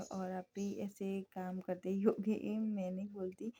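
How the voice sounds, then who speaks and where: Somewhat breathy, a woman with a medium pitch speaks in a dark, mellow tone with monotone, flat intonation. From India, Gujarat. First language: Gujarati (speaking Hindi). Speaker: homemaker vlogger. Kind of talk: vlog voice-over. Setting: home voice-over recording. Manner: casual, with fillers.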